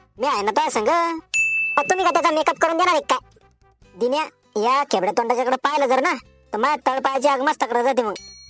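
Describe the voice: Over faint music and sound effects in the background, a cartoonish character voice moves at a fairly quick pace.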